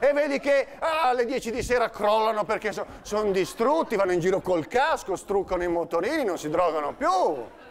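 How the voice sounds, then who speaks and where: A high-pitched man at a moderate pace, very wide pitch swings, hardly any pauses, and light background noise. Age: 50s. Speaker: comedian. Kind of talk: stand-up. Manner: animated. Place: stage. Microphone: lapel.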